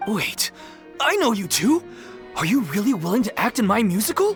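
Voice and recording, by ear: Over faint background music, a man does a put-on character voice, high-pitched and fairly bright, with big pitch swings at a moderate pace.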